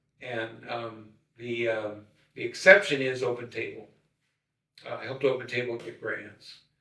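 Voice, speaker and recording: A man speaks in a bright, sharp tone, his loudness swinging widely. Long, frequent pauses break up his speech, and audible room echo surrounds it. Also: medium pitch for a man, ordinary pitch variation, moderate pace. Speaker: wraparound care consultant. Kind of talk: podcast interview conversation. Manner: halting, many fillers and repetitions.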